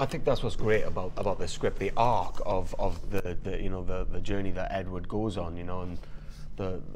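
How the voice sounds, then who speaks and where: Audible room echo surrounds the voice. The man keeps a moderate pace. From Wales. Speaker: voice actor. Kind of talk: casual interview chat. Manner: halting, many repetitions.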